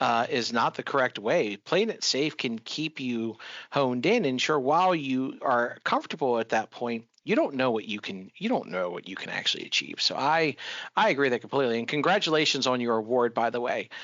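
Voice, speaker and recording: A man with a normal speaking voice and an American accent, medium pitch, lively intonation and a fairly quick pace. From Florida. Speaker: podcast host. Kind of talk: interview conversation.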